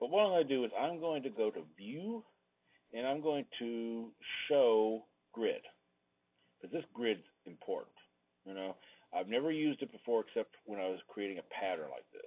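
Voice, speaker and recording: At a moderate pace and medium pitch, a man swings his pitch very widely and his loudness sharply, leaving long, frequent pauses. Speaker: design teacher. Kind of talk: tutorial. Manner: casual, thinking aloud.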